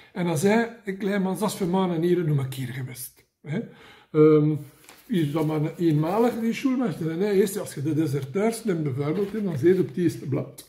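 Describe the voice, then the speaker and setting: Lively intonation and a dark, mellow tone at a moderate pace, in a Flemish accent. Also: man, high pitch for a man. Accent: Mechelen dialect. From Mechelen, Belgium. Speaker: comic book vlogger. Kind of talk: casual talk to camera. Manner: humorous, rambling. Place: home room. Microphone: phone near.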